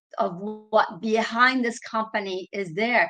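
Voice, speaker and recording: A woman's fairly high voice at a fairly slow pace, with fairly even intonation. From France. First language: French. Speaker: leadership coach and trainer. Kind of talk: webinar presentation. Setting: online webinar.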